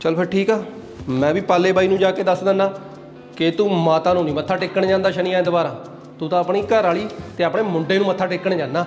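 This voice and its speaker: Faint music plays in the background as a man with a high pitch talks with fairly even intonation. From Punjab, India. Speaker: comedy sketch actor. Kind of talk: scripted comedy sketch dialogue. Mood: teasing, mock-threatening, playful. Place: home room.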